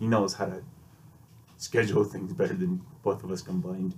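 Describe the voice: A man speaks in a low, nasal voice with a slightly mellow tone and little pitch movement. His moderate pace is heard with audible room echo.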